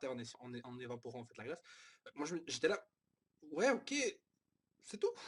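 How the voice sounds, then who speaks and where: Fairly high male voice, somewhat breathy, with lively intonation. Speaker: manga reviewer. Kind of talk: casual review monologue. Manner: halting, many fillers.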